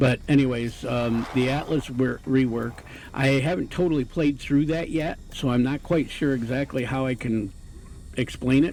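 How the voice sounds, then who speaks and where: A man's mumbling at medium pitch and moderate pace, with fairly even intonation. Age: old. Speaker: retired gamer and video game commentator. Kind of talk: casual gameplay commentary. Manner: rambling, hesitant, mumbling.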